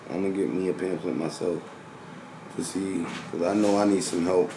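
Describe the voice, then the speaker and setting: Very deep, low-pitched male speech at a fairly quick pace, with noticeable background noise and audible room echo. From New York City. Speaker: vlogger. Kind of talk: casual chat.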